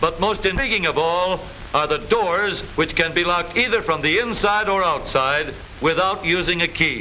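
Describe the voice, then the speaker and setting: Over noticeable background noise, a man with a high pitch speaks at a moderate pace, with ordinary pitch variation and very even loudness. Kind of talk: vintage newsreel narration, humorous. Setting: old film soundtrack.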